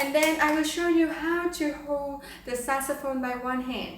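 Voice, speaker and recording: In a Vietnamese accent, a woman speaks fairly slowly at a high pitch with fairly even intonation. Room echo is audible, and background noise is noticeable. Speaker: saxophone player. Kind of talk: tutorial.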